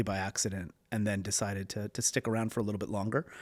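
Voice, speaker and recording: A man talks at a very fast pace with a Canadian accent. The recording is very clean, with a silent background and a dry, close sound with no echo. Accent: Canadian, still noticeable. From Canada, Toronto. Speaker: venture capital investor. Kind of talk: interview. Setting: in person.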